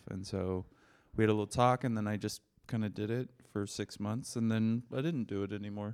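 With an American accent, a man speaks at a fairly quick pace in an ordinary speaking voice, his pitch fairly low and his intonation fairly even. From US Pacific Northwest (Seattle). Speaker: comedian. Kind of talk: casual chat.

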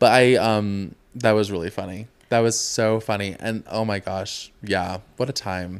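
On a very clean recording with a silent background, a man with a plain, everyday voice talks at a fairly low pitch and fairly even intonation. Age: 20s. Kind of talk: casual chat. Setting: studio, filmed on camera.

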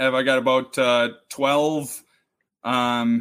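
This man talks in a flat monotone at a medium pitch, with a Minnesotan accent. The recording is very clean, and the background is silent. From Duluth, Minnesota. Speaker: podcast co-host, former college hockey player. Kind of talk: casual chat.

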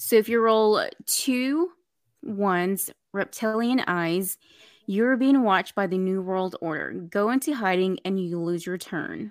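A woman's plain, everyday voice at a fairly slow pace, on a very clean recording with a silent background. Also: medium pitch for a woman, ordinary pitch variation. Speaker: game host.

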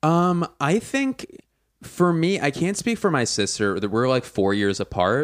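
On a very clean recording with a silent background, a man with an American accent speaks fairly slowly at fairly high pitch, his loudness very even while his pitch swings very widely. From US Northeast (Philadelphia). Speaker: stand-up comedian. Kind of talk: casual chat. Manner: voice rises higher when uncomfortable.

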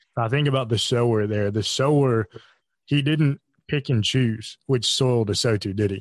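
An unremarkable speaking voice moves at a moderate pace with ordinary pitch variation, heard in a dry, close sound with no echo. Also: man, medium pitch for a man. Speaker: podcast host and network co-founder. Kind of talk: casual group discussion.

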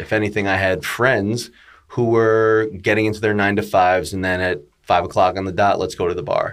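A man with an American accent, a plain, everyday voice, a fairly low pitch, ordinary pitch variation and a fairly quick pace. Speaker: real estate broker and podcaster. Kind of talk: casual interview storytelling.

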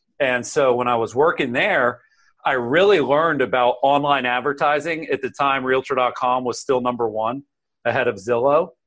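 With an American accent, a man speaks in an unremarkable speaking voice at a medium pitch and moderate pace, with ordinary pitch variation against a quiet background. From US South, central Florida. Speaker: author and sales coach. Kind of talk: interview.

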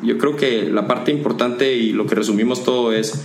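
Amid noticeable background noise and audible room echo, a man talks at medium pitch with ordinary pitch variation. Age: 20s. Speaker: corporate manager and entrepreneur. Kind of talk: casual interview.

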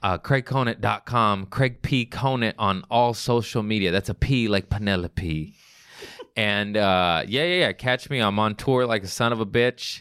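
A man with an American accent, fairly low in pitch with ordinary pitch variation and very even loudness, at a moderate pace, in a dry, close recording with no echo, very clean with a silent background. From Los Angeles, US. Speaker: comedian. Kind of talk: casual chat.

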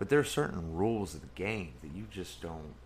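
Fairly slow speech with vocal fry and very wide pitch swings, plus audible room echo. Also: man. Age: 30s. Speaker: podcast host. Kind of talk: casual chat.

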